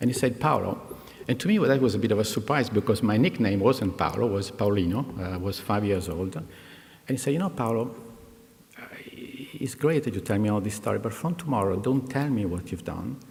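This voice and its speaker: With an Italian accent, a man of medium pitch speaks at a fairly quick pace with lively intonation over noticeable background noise. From Italy, Milan. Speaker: executive, commencement speaker. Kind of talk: commencement speech. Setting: graduation ceremony with audience. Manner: hesitant, many fillers.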